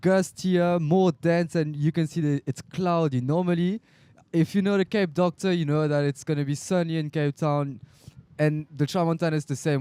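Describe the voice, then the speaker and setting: A man's fairly high, dark, mellow voice at a moderate pace, dry and close with no echo. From France. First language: French. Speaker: kitesurfer and co-commentator. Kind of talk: live commentary.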